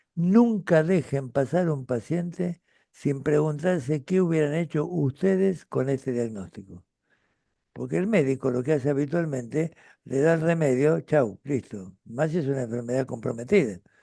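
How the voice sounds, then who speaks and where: A man with a fairly high pitch and a dark, mellow tone speaks with lively intonation. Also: moderate pace. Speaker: retired pediatrician and author. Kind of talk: interview conversation. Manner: halting with fillers.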